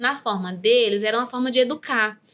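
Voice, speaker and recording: A woman speaks with a bright, sharp tone at a moderate pace. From Brazil, raised in the rural Northeast. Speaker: neuropsychopedagogue. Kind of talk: interview testimony. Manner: halting, with many fillers.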